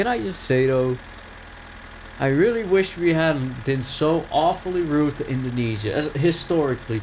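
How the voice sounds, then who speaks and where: Through noticeable background noise, a man with a Dutch accent and a fairly high pitch speaks at a moderate pace with lively intonation. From Netherlands. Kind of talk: casual gaming commentary.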